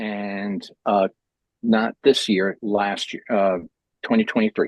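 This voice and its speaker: A man with an American accent talks at a very slow pace and a fairly low pitch with fairly even intonation, in a dry, close sound with no echo. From New York City, Manhattan Upper West Side. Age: 60s. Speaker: artist and meeting host. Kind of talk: casual chat. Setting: video call.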